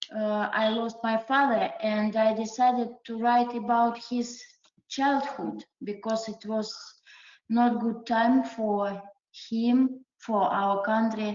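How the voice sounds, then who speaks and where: A woman with a non-native accent speaks at a fairly high pitch in a monotone, flat intonation. Her pace is very slow. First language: not English. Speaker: adult learner, award-winning writer. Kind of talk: interview. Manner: halting.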